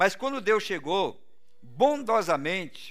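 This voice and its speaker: The speaker is a man. The background is quiet. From Brazil. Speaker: pastor. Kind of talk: sermon. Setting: church. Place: church.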